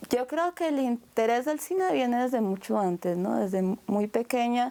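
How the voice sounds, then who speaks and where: A woman speaks with a dark, mellow tone. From Colombia, Bogotá. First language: Japanese (speaking Spanish). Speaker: filmmaker and anthropologist. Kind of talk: interview.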